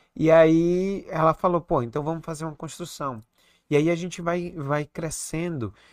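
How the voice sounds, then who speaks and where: The recording is very clean, with a silent background. A man speaks at a moderate pace in an unremarkable speaking voice, his pitch fairly high and his intonation fairly even. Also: dry, close sound with no echo. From Recife, northeast Brazil. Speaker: head and neck surgeon. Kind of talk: casual interview chat.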